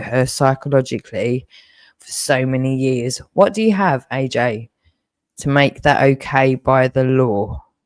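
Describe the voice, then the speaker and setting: The voice is shaky and moves at a fairly slow pace with ordinary pitch variation, captured in a very clean recording with a silent background and a dry, close sound with no echo. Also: woman. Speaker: livestreamer. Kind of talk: emotional livestream rant. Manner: shaky voice; repetitive, halting.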